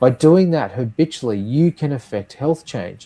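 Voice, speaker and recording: In a very clean recording with a silent background, a man with an Australian accent speaks at a medium pitch in a dark, mellow tone, with very wide pitch swings. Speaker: nurse and health tech founder. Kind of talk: podcast interview.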